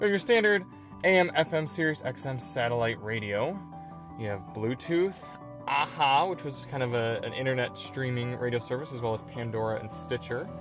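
With clear music in the background, a man speaks at a moderate pace in a dry recording with no echo. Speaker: car reviewer. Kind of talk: review commentary. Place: car. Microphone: earbuds.

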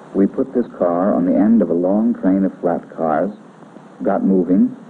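At a moderate speed, a man talks while noticeable noise carries on in the background. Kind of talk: 1940s training film narration. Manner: formal, clipped, authoritative; brisk, matter-of-fact, instructional.

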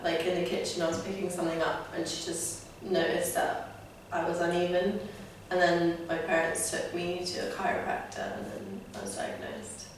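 A woman speaks in a fairly low pitch with monotone, flat intonation. The room echo is strong, and there is light background noise. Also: moderate pace. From Lithuania. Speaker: patient being interviewed. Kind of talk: interview answer. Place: office.

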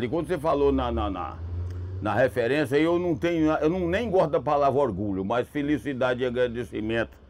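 With a rural Minas Gerais accent, a man of medium pitch speaks with vocal fry and lively intonation. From Minas Gerais, Brazil. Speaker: country music singer. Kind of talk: interview answer. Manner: good-humoured, unhurried. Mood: warm, reflective. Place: open country. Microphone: lapel.

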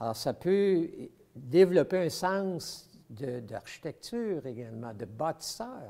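A man's fairly high voice with a Quebec accent, dark and mellow in tone, very wide pitch swings, a very slow pace, and a quiet background. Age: 70s. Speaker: model train collector. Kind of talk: casual interview, showing his collection. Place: hall. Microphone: lapel.

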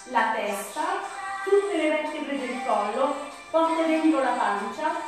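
A woman's high-pitched voice in strong room echo, with faint music in the background. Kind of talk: exercise class instruction. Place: home room. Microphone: camera far.

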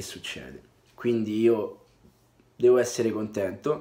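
A man talks with ordinary pitch variation. Faint music sits in the background. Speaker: football fan vlogger. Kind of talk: casual vlog commentary. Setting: away from home, indoors. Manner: quiet, speaking softly. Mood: content but wry after draw. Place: home room. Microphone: webcam.

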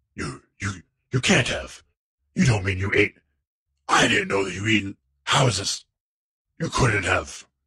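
Using a put-on character voice, a man speaks with a raspy, fairly low pitch and ordinary pitch variation, at a fairly slow pace with long, frequent pauses. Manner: stammering, flustered, disbelieving.

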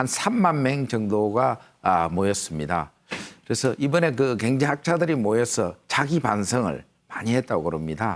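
A man talks at a fairly slow pace with very wide pitch swings and very even loudness. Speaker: newspaper editorial writer hosting an economics show. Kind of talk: interview.

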